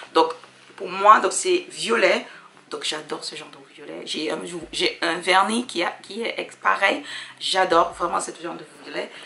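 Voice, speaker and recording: Against noticeable background noise, a woman speaks fairly slowly with big swings in loudness. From Dominica. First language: English (speaking French). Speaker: sewing hobbyist vlogger. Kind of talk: casual haul vlog. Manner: halting, many fillers.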